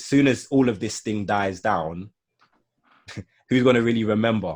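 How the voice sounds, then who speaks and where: A fairly low-pitched man with an English accent, moderate pace, ordinary pitch variation and big swings in loudness. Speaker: marketing consultant and YouTuber. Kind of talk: casual chat. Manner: halting.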